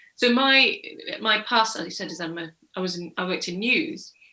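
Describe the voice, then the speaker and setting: This woman speaks at a moderate pace. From northern England, Bradford. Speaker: crime novelist, former journalist. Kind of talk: panel discussion. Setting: online event.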